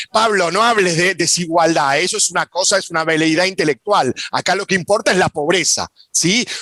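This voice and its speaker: A man with a high pitch talks at a fairly quick pace, the sound dry and close with no echo but with noticeable background noise. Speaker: sociologist. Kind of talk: panel talk. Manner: fast.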